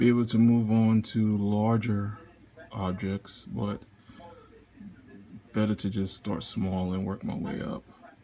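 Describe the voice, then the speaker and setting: The pace is very slow. The tone is dark and mellow. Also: man. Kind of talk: casual talk to camera. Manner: hesitant, halting.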